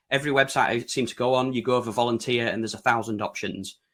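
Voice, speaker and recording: This is a man with a British accent. His pitch is medium. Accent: broad UK. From Yorkshire, northern England. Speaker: website design consultant presenting. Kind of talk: webinar presentation. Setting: online webinar.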